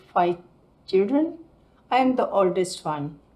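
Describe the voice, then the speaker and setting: This woman has an Indian accent and a medium pitch. Her tone is dark and mellow. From Mumbai, India. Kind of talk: interview answer.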